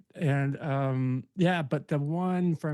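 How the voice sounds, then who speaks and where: A man speaks with a fairly high pitch and a dark, mellow tone. His intonation is fairly even, and the background is quiet. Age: 50s. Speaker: podcast host. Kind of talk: casual interview conversation. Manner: halting, many fillers and repeats.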